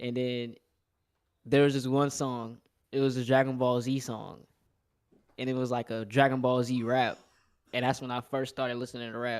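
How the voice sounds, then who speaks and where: In a very clean recording with a silent background, a man with an American accent speaks at a moderate pace and medium pitch, in a monotone, flat way, with long, frequent pauses. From Texas, Houston (born New Orleans). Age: 20s. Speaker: caller. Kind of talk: casual chat.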